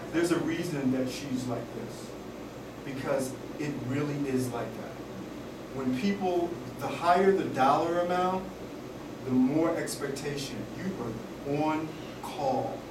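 Noticeable background noise sits behind a man who leaves long, frequent pauses. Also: fairly slow pace. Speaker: style expert and author. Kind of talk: lecture. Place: classroom. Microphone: camera far.

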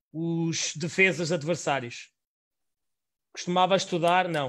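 A man with a European Portuguese accent talks at a very slow pace in a high pitch with ordinary pitch variation. The recording is very clean, with a silent background. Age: 30s. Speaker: podcast host. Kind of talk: interview. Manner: halting.

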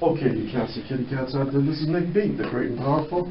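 Audible room echo and light background noise surround a man's voice. His pitch varies in an ordinary way. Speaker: radio show host. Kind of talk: radio host talk and interview questions. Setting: radio studio. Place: studio.

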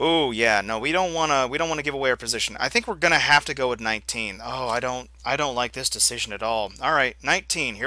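The clip is plain reading aloud. Its pitch variation is ordinary.

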